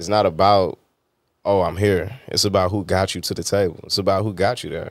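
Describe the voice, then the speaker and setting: A man speaks with an unremarkable speaking voice, pitched fairly low and with fairly level intonation, against a quiet backdrop. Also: fairly quick pace, dry sound with no echo. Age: 30s. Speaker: interview show host. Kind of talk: casual interview chat. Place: studio. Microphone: studio mic.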